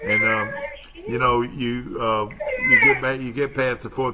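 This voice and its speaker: With an Alabama accent, a man of medium pitch speaks at a moderate pace amid noticeable background noise. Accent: US South (Alabama). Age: 70s. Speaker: local TV talk show host. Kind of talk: casual live TV chat. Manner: halting, many fillers.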